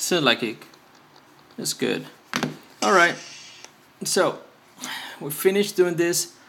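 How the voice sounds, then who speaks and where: A man's high voice with lively intonation at a fairly slow pace, broken by long, frequent pauses, over noticeable background noise. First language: Spanish. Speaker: phone repair youtuber. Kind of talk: tutorial. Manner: halting, many fillers.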